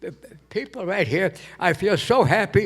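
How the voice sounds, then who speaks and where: A man's high-pitched voice at a fairly slow pace, with an American accent. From Connecticut, US. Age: 80s+. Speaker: war veteran. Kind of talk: speech to audience. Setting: stage with audience. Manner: halting, stammering with repetitions.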